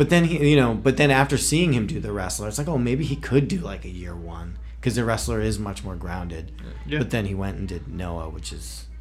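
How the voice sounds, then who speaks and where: Music plays behind a man whose very deep, low pitch makes very wide swings. His loudness also rises and falls in big swings. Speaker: podcast host. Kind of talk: casual chat about comics.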